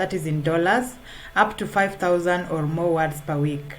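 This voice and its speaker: A woman with a non-native accent speaks at a moderate pace and fairly low pitch. Her pitch variation is ordinary, and there is audible room echo. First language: not English. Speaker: freelance writer. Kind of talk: tutorial. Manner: halting, many fillers.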